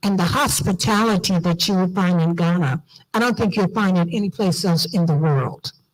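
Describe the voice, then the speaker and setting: A woman with an American accent speaks at a medium pitch, somewhat breathy, with lively intonation. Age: old. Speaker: diaspora organization leader. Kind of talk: conference speech. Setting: auditorium with audience. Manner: animated.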